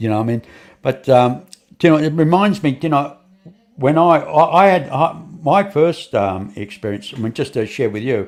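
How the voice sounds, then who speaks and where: A man with an Australian accent, fairly high in pitch, at a moderate pace with lively intonation. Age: 70s. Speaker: podcast host. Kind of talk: casual interview chat. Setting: online stream studio. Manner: halting, many repetitions.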